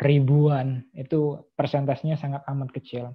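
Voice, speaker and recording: A woman at a fairly slow pace. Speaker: podcast host and vlogger. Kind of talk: casual monologue podcast. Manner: some hesitations and filler words.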